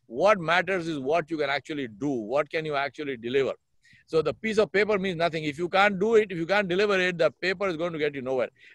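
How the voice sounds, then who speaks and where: A man speaks at a very fast pace in a high voice with ordinary pitch variation, the sound dry with no echo over a quiet background. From India. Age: 60s. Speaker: leadership consultant. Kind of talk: interview. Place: garden. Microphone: video call.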